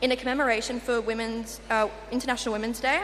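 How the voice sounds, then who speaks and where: At a fairly quick pace, a woman with an Australian accent speaks in a fairly high pitch, with noticeable background noise and audible room echo. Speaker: youth network representative. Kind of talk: conference presentation. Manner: hesitant fillers.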